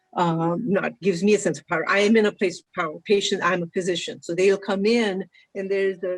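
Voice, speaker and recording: Woman of medium pitch at a fairly quick pace. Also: fairly even intonation. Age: 60s. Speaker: physician. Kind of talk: panel discussion. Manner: halting.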